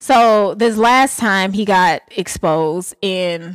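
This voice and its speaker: With an Atlanta accent, a woman speaks in an animated tone at medium pitch with ordinary pitch variation. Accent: Southern US, Atlanta. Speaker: podcast co-host. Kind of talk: casual chat, podcast banter. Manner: animated, laughing often.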